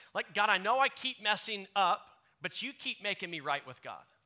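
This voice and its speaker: Raised and projected, a man's high-pitched voice has a bright, sharp tone, lively intonation and a moderate pace. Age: 30s. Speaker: pastor. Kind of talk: contemporary church sermon, conversational and direct, addressing the congregation. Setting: church service with live congregation. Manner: warm, casual and earnest, with filler ums and uhs; emphatic, punchy repetition to drive points home.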